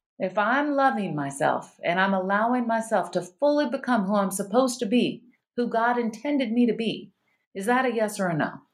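A woman with an American accent speaks in a fairly high pitch at a fairly quick pace. She has a plain, everyday voice. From US South. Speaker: functional medicine doctor. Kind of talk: casual chat. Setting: video call.

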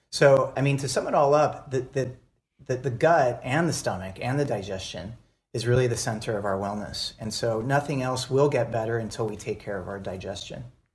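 At a fairly quick pace, a somewhat breathy voice moves with ordinary pitch variation in a very clean recording with a silent background. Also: man, medium pitch for a man. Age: 40s. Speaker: beverage company founder. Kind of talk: casual chat.

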